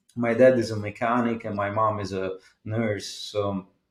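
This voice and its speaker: Here is a man with an Italian accent. His pitch is medium. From Italy. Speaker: jazz guitarist. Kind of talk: interview. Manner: halting.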